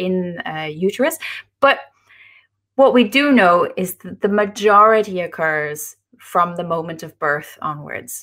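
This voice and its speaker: In a very clean recording with a silent background, a woman with an Irish accent speaks at medium pitch with ordinary pitch variation. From Ireland. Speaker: nutrition author. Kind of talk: interview.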